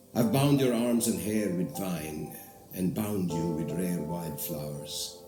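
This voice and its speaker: With music in the background, a man speaks at a very slow pace in very wide pitch swings. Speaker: stage and film actor. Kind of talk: poetry reading.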